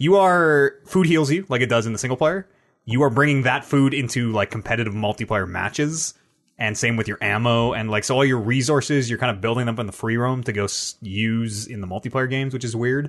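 An ordinary speaking voice moves at a fairly quick pace with ordinary pitch variation over a quiet background. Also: man, medium pitch for a man. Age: 20s. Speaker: gaming podcast host and streamer. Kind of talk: casual chat.

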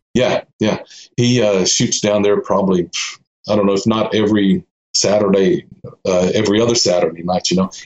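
Speaking with a Texan accent, a man keeps a moderate pace and very even loudness. His pitch is fairly low, with ordinary variation. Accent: Texan American. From Austin, Texas. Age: 50s. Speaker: street photographer. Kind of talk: casual interview chat.

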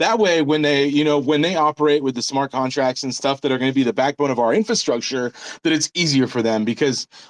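With an American accent and an animated tone, a man talks at a fairly quick pace in a dry, close sound with no echo. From United States. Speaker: crypto startup founder. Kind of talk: casual chat. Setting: video call.

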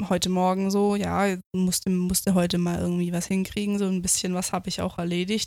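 On a very clean recording with a silent background, a woman speaks at a medium pitch. Her delivery is monotone and flat, at a moderate pace. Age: 20s. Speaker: podcast host. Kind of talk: casual chat.

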